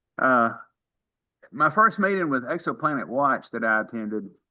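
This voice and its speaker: In a Mississippi accent, a man of medium pitch and bright, sharp tone speaks at a moderate pace with lively intonation against a quiet background. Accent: Southern US (Mississippi). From Mississippi, US South. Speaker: amateur astronomer, retired dentist. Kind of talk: casual self-introduction in online meeting.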